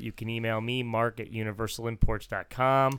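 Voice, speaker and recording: Here a man with an American accent speaks in a flat monotone at a moderate pace. The recording is very clean, with a silent background. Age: 40s. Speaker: car dealership owner and podcast host. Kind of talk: casual chat.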